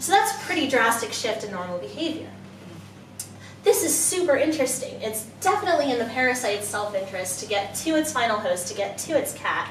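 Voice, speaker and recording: A woman with an American accent, high-pitched and fairly quick, her pitch swinging very widely, amid noticeable background noise and audible room echo. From US, Florida. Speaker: PhD student. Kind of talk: public science talk. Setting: pub with live audience. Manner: animated.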